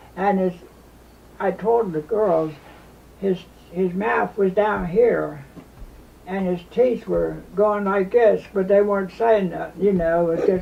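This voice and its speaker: A man's high-pitched voice at a very slow pace, with fairly even intonation, long, frequent pauses and noticeable background noise. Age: 80s+. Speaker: war veteran. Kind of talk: interview answer. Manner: casual, rambling storytelling.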